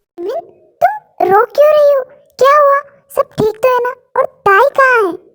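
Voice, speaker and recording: A woman does a squeaky put-on character voice with extremely high pitch and lively intonation. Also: fairly quick pace. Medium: read story. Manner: urgent, emotional.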